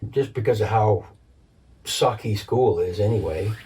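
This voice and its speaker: Somewhat breathy and dark, mellow in tone, a man talks at a fairly slow pace. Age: 60s. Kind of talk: casual chat. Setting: home recording.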